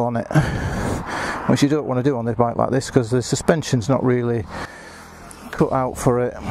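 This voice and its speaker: Recorded dry with no echo over light background noise, a man talks with fairly even intonation. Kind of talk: casual walkaround commentary. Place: street. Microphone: phone near.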